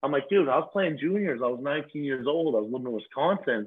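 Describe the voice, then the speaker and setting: An unremarkable speaking voice of a man with an American accent, fairly high in pitch, fairly quick and with lively intonation. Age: 20s. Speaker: reality TV cast member. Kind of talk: casual chat.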